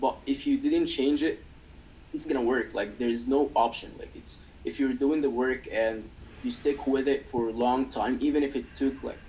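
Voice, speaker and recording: This man speaks with a non-native accent. His pace is moderate. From developing country. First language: not English. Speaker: agency owner. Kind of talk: interview. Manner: halting.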